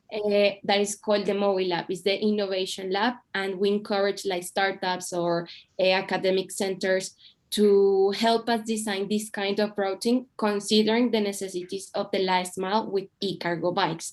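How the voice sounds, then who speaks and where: Speaking with a Spanish accent at a moderate pace, the voice is monotone and flat against a quiet background. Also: woman, medium pitch for a woman. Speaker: city mobility official. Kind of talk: panel discussion. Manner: halting.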